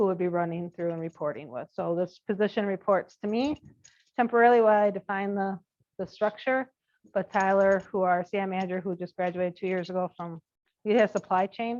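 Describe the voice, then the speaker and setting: Her medium-pitched voice moves at a fairly quick pace with ordinary pitch variation, recorded dry and close with no echo. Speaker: corporate supply chain manager recruiting interns. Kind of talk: presentation to student group. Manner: fast.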